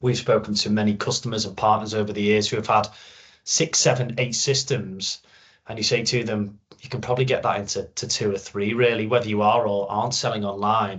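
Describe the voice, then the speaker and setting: Talking at a fairly quick pace with a Liverpool accent, a man keeps his fairly low voice fairly even in intonation. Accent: Liverpool (Scouse). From Liverpool, northwest England. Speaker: sales channel manager, product data expert. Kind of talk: webinar presentation. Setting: recorded webinar.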